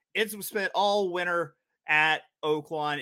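In a very clean recording with a silent background, a man speaks with a bright, sharp tone and a fairly high pitch. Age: 30s. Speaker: horse racing betting podcast host. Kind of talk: casual handicapping chat.

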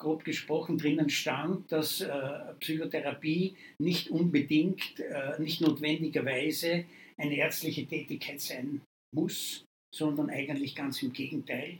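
With fairly even intonation, a man speaks at a fairly high pitch and a very slow pace. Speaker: psychiatry professor. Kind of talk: interview.

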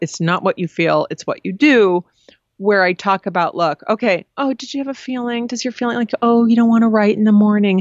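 A woman with a normal speaking voice talks at a medium pitch and a fairly quick pace. Her intonation is lively. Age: 50s. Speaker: advice columnist and author. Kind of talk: interview.

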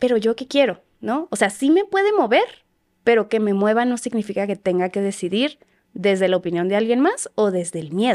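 She talks at a moderate pace, with pitch that varies in an ordinary way. This woman has an ordinary speaking voice, pitched fairly high. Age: 20s. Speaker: psychologist. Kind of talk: casual chat.

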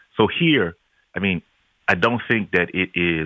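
At a fairly slow pace, a man with an American accent speaks in a very deep, low pitch. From a country without local police forces, not the US. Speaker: pastor. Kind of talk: radio interview.

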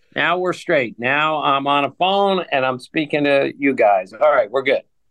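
This man talks at a moderate pace with ordinary pitch variation and very even loudness. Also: fairly high pitch for a man. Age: 60s. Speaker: guest. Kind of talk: casual chat.

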